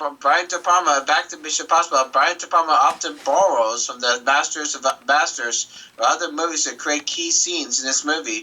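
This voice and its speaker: Noticeable background noise surrounds a man whose voice sits at a fairly high pitch. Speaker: podcast co-host. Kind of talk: reading aloud; casual chat. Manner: fast.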